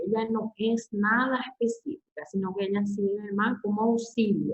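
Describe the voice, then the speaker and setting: A woman speaks at a fairly slow pace in a fairly high, somewhat breathy voice. Her intonation is fairly even. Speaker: university lecturer. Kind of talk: lecture. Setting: online class.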